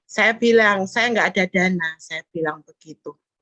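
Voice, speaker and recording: At a moderate pace, a woman speaks in a shrill, bright, sharp voice, the sound dry and close with no echo. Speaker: fellowship participant sharing testimony. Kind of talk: testimony.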